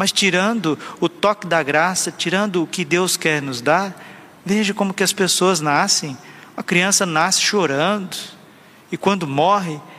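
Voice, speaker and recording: A man with a high pitch, fairly slow pace and ordinary pitch variation. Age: 30s. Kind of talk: sermon.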